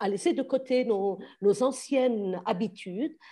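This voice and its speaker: Over a quiet background, a woman speaks very slowly at a fairly high pitch with ordinary pitch variation and a dark, mellow tone. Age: 60s. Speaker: teacher. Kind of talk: Q&A discussion.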